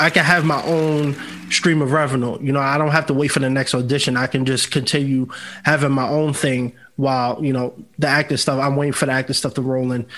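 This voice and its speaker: With a New York accent, a man talks at a fairly quick pace in monotone, flat intonation. Music plays in the background. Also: fairly high pitch for a man. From New York City (Bronx). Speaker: podcast host and entertainer. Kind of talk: casual chat.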